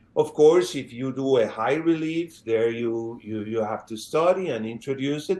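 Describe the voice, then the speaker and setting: With a non-native accent, a man of medium pitch speaks at a fairly slow pace with ordinary pitch variation. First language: not English. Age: 50s. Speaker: sculptor. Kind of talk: interview. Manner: halting, many fillers.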